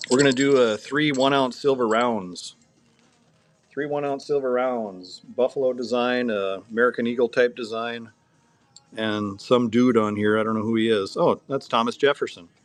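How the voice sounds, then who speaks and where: Music plays in the background as the speaker talks at a moderate pace with fairly even intonation. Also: man, medium pitch for a man. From North Dakota. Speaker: coin dealer running a live auction. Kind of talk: live auction stream.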